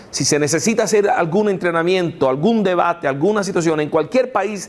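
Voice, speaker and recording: At a moderate pace, a man with a non-native accent speaks at a high pitch with lively intonation. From United States. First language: English (speaking Spanish). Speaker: apologetics lecturer. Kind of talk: lecture. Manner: halting, many fillers.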